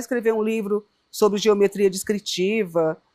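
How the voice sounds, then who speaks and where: Using an ordinary speaking voice, she speaks at a moderate pace, her pitch medium for a woman. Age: 60s. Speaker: founder of an arts education organization. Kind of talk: interview.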